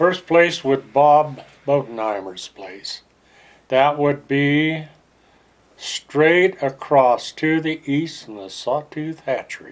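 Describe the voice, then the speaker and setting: A fairly high-pitched man with an American accent, speaking at a very slow pace, with big swings in loudness and ordinary pitch variation. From Idaho. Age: 70s. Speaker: oral history interviewee. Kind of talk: oral history interview.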